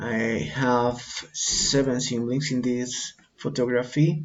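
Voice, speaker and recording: A man with a Colombian accent, at a very slow pace with ordinary pitch variation. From Colombia, Bogota. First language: Spanish. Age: 40s. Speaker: English teacher and learner. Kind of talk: student self-introduction presentation. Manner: halting, with fillers.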